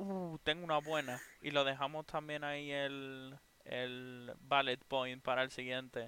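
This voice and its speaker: Using fairly even intonation, a man with an ordinary speaking voice and a fairly high pitch speaks at a fairly slow pace. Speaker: podcast co-host. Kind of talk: casual chat. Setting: live stream.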